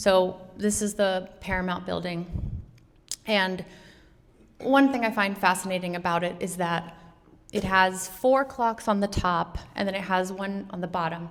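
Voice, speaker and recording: Over audible room echo, a woman with an American accent talks at a moderate pace in a medium pitch. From New York City. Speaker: artist and educator giving a talk. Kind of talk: lecture. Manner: animated.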